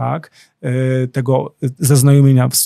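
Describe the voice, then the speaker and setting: The man's medium-pitched voice has a dry, close sound with no echo. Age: 40s. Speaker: coach, dancer and choreographer. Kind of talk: interview.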